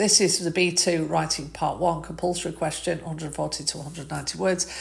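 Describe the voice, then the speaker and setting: There is noticeable background noise behind a woman with a fairly low pitch. She talks at a fairly quick pace with fairly even intonation. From northern England, Manchester. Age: 50s. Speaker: English teacher. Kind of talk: live-stream lesson. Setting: live stream. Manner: casual, hesitant with fillers.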